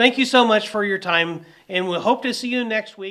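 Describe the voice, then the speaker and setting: In a raised, projected voice with a bright, sharp tone, a man speaks at a moderate pace with ordinary pitch variation. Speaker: news commentary podcast host. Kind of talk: casual political commentary.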